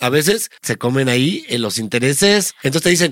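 Fairly slow yet animated, a man speaks with very wide pitch swings. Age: 30s. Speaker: podcast host, comedian. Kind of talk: casual chat.

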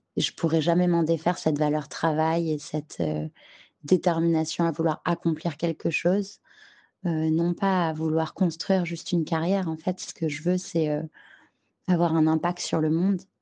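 Against a quiet background, a woman speaks at a moderate pace in a fairly low, dark, mellow voice with monotone, flat intonation. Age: 30s. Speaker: mother. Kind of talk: testimony.

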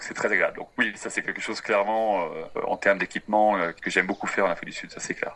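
This man talks at a very fast pace over noticeable background noise. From France, Brittany. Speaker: tour guide. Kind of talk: interview. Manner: halting.

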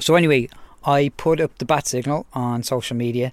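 A man with a Dublin accent at a medium pitch and a moderate pace. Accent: Irish (Dublin). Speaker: wildlife podcast co-host, zoologist. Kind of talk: casual chat. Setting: outdoors, garden. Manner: animated.

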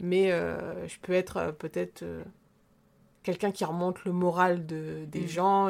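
On a very clean recording with a silent background, a woman with a fairly low pitch speaks at a very slow pace. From rural central France. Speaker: podcast co-host. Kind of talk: casual chat. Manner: animated.

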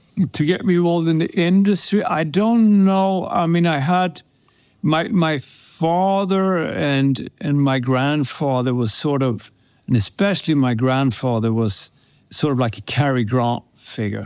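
Speaking with a Swedish accent, a man uses a fairly high pitch, lively intonation and very even loudness at a fairly slow pace. The recording is very clean, with a silent background. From Sweden. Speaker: perfume brand co-founder. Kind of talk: casual interview.

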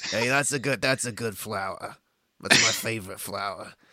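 Putting on a gravelly character voice, a man speaks at a moderate pace with medium pitch and ordinary pitch variation. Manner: dropping voice, playing a character.

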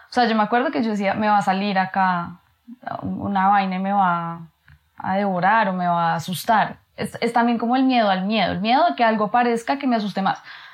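In a plain, everyday voice, a woman speaks at medium pitch and a fairly quick pace, with ordinary pitch variation. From Colombia, Bogotá. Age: 30s. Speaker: architect and lecturer. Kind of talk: casual chat.

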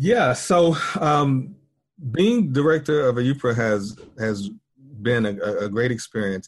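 Somewhat breathy, a man with an American accent talks at a fairly slow pace, leaving long, frequent pauses. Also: medium pitch for a man. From US South, rural North Carolina. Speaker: university institute director and professor. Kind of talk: interview. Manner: halting, many fillers and repetitions.

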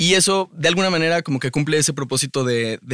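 A man at a moderate pace with ordinary pitch variation, in a very clean recording with a silent background and a dry, close sound with no echo. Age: 30s. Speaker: musician. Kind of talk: casual chat. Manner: halting.

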